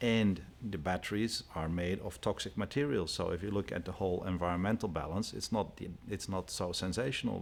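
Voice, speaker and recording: Fairly quick speech in a Dutch accent, with ordinary pitch variation. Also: man. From Netherlands. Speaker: company CEO. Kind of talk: TV interview.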